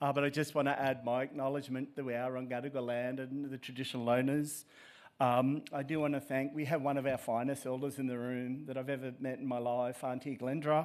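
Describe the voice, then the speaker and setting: On a very clean recording with a silent background, a man with an Australian accent talks at a fairly quick pace in a medium pitch, his intonation monotone and flat. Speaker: professor. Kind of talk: keynote speech. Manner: halting, many fillers.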